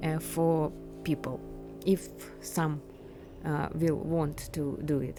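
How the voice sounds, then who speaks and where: A woman with a Ukrainian accent at a very slow pace, long, frequent pauses, clear music in the background. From Ukraine. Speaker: urban explorer vlogger. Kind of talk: travel vlog narration. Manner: halting, many fillers. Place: factory. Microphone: phone near.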